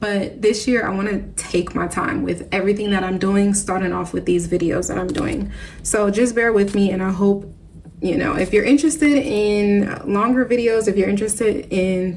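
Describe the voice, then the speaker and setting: At a moderate pace with ordinary pitch variation, the voice carries audible room echo and noticeable background noise. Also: woman, medium pitch for a woman. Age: 30s. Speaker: budgeting vlogger. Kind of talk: casual vlog talk to camera.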